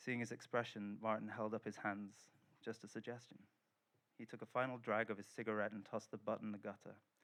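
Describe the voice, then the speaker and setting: A man with a medium pitch and fairly even intonation speaks at a fairly quick pace. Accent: Welsh. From Wales. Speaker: writer and translator. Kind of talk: reading from own novel at a literary festival.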